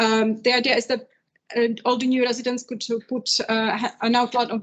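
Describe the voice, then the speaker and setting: A woman speaks at a fairly quick pace in a fairly high pitch. Her intonation is monotone and flat. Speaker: arts organization presenter. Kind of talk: conference presentation. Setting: live event with audience. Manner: fast.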